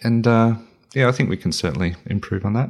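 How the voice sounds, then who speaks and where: A man in an Australian accent speaks, his pitch varying in an ordinary way. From country New South Wales, Australia. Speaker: founder of a men's mental health organisation. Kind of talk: interview. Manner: halting, many fillers.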